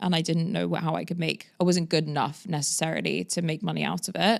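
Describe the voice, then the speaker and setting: Speaking with a London accent, a woman talks at a fairly quick pace in a fairly low pitch with vocal fry. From London, England. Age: 30s. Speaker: agency founder. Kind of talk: podcast interview.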